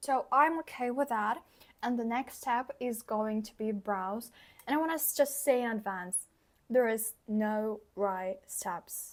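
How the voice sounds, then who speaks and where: Speaking at a fairly slow pace with a non-native accent, a woman's voice sits fairly high in pitch. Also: ordinary pitch variation. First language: not English. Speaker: beauty vlogger. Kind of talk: tutorial. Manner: casual.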